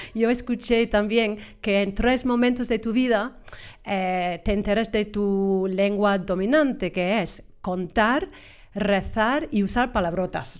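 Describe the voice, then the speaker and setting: A woman with an English accent speaks at a very slow pace, her fairly high pitch showing ordinary variation. The recording is very clean, with a silent background. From Cornwall, England. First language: English (speaking Spanish). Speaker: English teacher and examiner. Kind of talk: interview. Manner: halting, repeats words.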